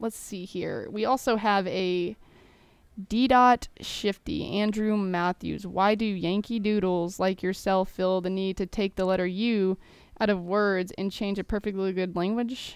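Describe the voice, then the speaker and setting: Fairly slow speech with an American accent and fairly even intonation, on a very clean recording with a silent background. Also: woman, medium pitch for a woman. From Texas. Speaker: gaming YouTuber. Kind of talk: Q&A over gameplay commentary. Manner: casual, rambling.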